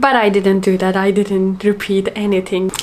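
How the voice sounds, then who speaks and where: With a Turkish accent, a woman talks at a moderate pace and medium pitch. Noticeable background noise is present. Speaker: language learner vlogger. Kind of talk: casual monologue.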